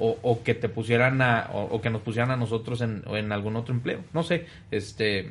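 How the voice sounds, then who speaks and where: A man's medium-pitched, somewhat breathy voice at a moderate pace, with fairly even intonation. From Monterrey, northern Mexico. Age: 20s. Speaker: family business executive. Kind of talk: podcast interview. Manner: hesitant, many fillers.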